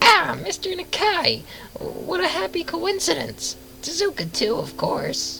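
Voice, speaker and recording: Clear background noise accompanies a put-on character voice that talks at a fairly slow pace. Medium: read story. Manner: chatty, stammering, overfamiliar.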